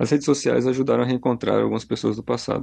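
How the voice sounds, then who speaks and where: A man speaks at a very fast pace. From Brazil. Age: 30s. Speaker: listener sending a voice message. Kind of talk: recorded voice message.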